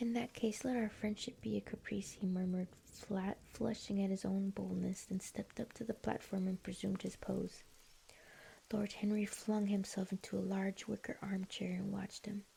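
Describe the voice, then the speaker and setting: The voice is calm, gentle, dark and mellow, and somewhat breathy. It moves at a moderate pace with monotone, flat intonation. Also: woman, medium pitch for a woman. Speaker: streamer and ASMR book reader. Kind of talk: audiobook-style ASMR book reading. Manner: soft, calm, gentle reading.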